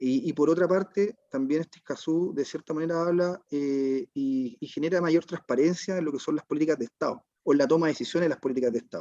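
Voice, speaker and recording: A man with a Chilean accent, fairly high pitch and a dark, mellow tone, at a very fast pace with hardly any pauses, ordinary pitch variation and a dry, close sound with no echo. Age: 40s. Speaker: waste management business owner. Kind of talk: online panel discussion. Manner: halting, many repetitions and fillers.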